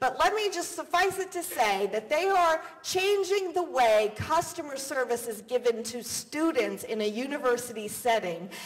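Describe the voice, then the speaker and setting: Speaking at a moderate pace with hardly any pauses, the voice swings very widely in pitch over noticeable background noise. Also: woman, high pitch for a woman. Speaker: keynote speaker. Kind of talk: live keynote speech. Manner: high-energy, theatrical.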